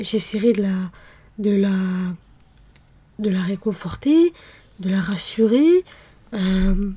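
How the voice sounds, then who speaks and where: A woman speaks in a soft-spoken way. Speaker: ASMR creator. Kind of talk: ASMR soft-spoken personal talk.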